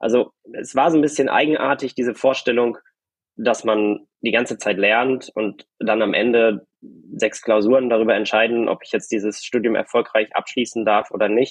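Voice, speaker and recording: Captured in a dry, close sound with no echo, a man talks at a moderate pace with fairly even intonation in an ordinary speaking voice. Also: medium pitch for a man. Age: young. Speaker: doctoral law student. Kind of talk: casual chat. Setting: video call.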